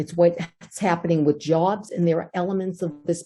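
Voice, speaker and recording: Somewhat breathy and fairly low, a woman's dark, mellow voice carries an American accent. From Somerville, Massachusetts (East Somerville). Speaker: mayoral candidate. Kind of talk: candidate forum statement.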